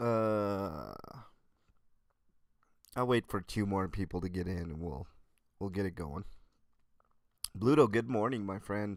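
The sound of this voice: A man's low pitch and slow pace, with long, frequent pauses and ordinary pitch variation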